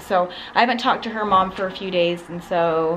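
Noticeable background noise sits behind a woman whose fairly low pitch moves with ordinary variation. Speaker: vlogger. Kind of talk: casual vlog chat. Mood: concerned, somber update. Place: home room. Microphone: phone near.

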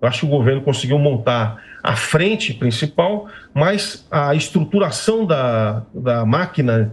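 A somewhat breathy man at a fairly slow pace, with very wide pitch swings. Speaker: guest. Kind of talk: interview answer. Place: home room. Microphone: video call.

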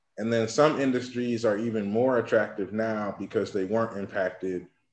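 In a room with audible echo, a man with a fairly low pitch talks in a monotone, flat intonation. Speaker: guest. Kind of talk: interview answer. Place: home room. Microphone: webcam.

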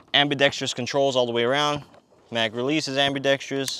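A man, dry with no echo, over noticeable background noise. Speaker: firearms reviewer. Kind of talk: product review talk. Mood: relaxed, humorous. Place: open country. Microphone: lapel.

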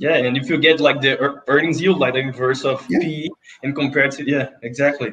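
In a Portuguese accent, a man talks at a fairly quick pace with a fairly high pitch and fairly even intonation over light background noise. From Brazil. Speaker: investment interviewer. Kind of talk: interview. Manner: halting. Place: office. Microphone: video call.

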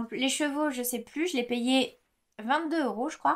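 A woman's high-pitched voice at a very slow pace. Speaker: knitting podcaster. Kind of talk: casual monologue. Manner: hesitant, many filler words. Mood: warm, enthusiastic. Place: home room.

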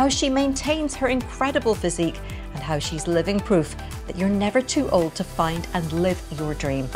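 Clear music can be heard in the background. Over it, a woman speaks at a moderate pace. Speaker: journalist. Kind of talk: podcast introduction. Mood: warm, enthusiastic. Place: home room.

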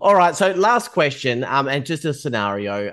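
With an Australian accent, a man talks at a moderate pace in a fairly high pitch over a quiet background. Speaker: podcast host, TV news journalist. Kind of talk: interview.

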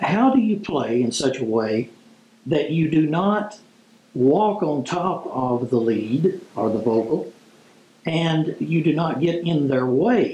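There is audible room echo as a man speaks at a very slow pace. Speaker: instructor. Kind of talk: tutorial. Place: home room.

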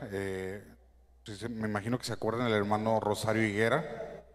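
A man's voice, fairly low in pitch. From Mexico, Sinaloa (Guamúchil); Sinaloa. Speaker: church musician. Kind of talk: church greeting. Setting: church. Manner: halting. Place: church.

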